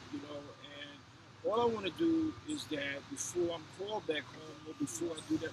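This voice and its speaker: With an American accent, a man talks in a fairly even intonation over noticeable background noise. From New Jersey, Orange. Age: 60s. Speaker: author. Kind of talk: casual interview.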